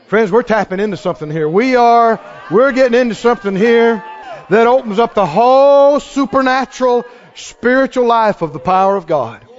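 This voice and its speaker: Over noticeable background noise, a man with an extremely high voice speaks at a moderate pace in an animated tone with ordinary pitch variation. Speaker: preacher. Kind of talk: sermon with congregation. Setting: church with congregation. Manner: loud, fervent, exhorting the crowd in praise.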